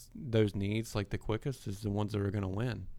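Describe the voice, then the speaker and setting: A man with a Southern US accent speaks in a fairly low pitch and a flat monotone, recorded very cleanly against a silent background. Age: 20s. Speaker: podcast host and auto business owner. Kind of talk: casual chat. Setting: studio.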